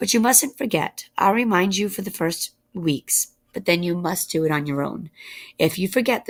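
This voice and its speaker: Recorded very cleanly over a silent background, a raspy, female-sounding put-on character voice of medium pitch moves at a moderate pace. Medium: read story.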